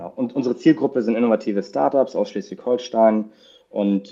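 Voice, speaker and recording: A man's dark, mellow voice at a fairly quick pace with ordinary pitch variation. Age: 20s. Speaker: investment company client advisor. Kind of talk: interview.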